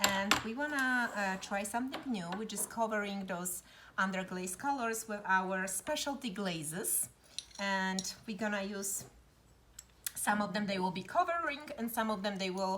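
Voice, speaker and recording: A woman with a Polish accent, medium pitch, ordinary pitch variation and a moderate pace. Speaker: pottery studio instructor. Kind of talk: tutorial.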